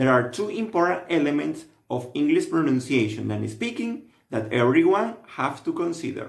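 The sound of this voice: A man with vocal fry speaks at a moderate pace and a fairly high pitch, making big pitch swings.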